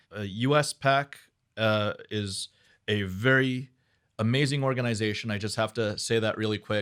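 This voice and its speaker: A man with an ordinary speaking voice, medium pitch, fairly even intonation and a fairly slow pace, on a very clean recording with a silent background. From New York City (Flushing, Queens). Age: 40s. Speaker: business owner. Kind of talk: interview.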